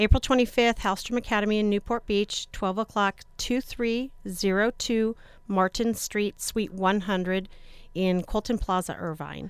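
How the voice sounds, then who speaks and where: In a normal speaking voice, a woman talks at a moderate pace and a medium pitch, with ordinary pitch variation. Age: 40s. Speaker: school administrator. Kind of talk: radio interview.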